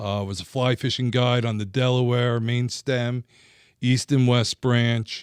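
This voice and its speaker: A man with a New Jersey accent, medium in pitch, at a fairly slow pace with monotone, flat intonation, on a very clean recording with a silent background and a dry, close sound with no echo. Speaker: former fishing guide and industry rep. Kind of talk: casual interview chat. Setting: studio.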